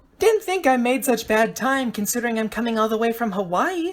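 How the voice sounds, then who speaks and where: A put-on character voice that sounds female, pitched fairly high. She talks at a fairly quick pace. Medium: read story.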